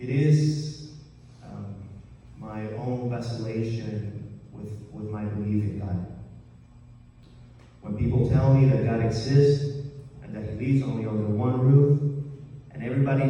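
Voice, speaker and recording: There is noticeable background noise as a man talks at medium pitch with fairly even intonation. He goes at a fairly slow pace with long, frequent pauses. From Colombia. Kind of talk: live storytelling performance.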